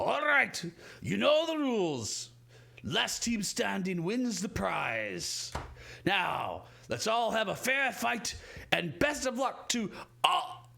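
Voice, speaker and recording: A man's put-on character voice, high in pitch, at a very slow pace with long, frequent pauses. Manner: commanding, showman-like.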